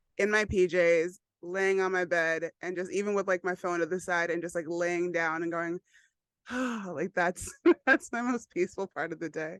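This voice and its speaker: Speaking with an American accent, a woman has an unremarkable speaking voice, fairly low in pitch, with fairly even intonation and a moderate pace, recorded with a dry, close sound with no echo and a quiet background. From New York. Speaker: yoga instructor. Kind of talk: casual interview chat.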